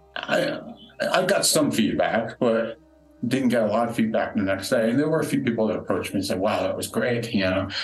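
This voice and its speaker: Music in the background and audible room echo accompany a man speaking at a medium pitch and fairly quick pace with lively intonation. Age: 50s. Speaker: recovery speaker. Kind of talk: interview testimony. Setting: retreat venue room.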